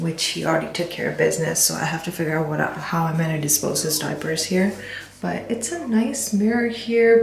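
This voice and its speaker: There is audible room echo around a woman's voice. Background noise is noticeable too. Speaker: vlogger. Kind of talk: home tour vlog. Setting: walking through an apartment. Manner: soft-spoken.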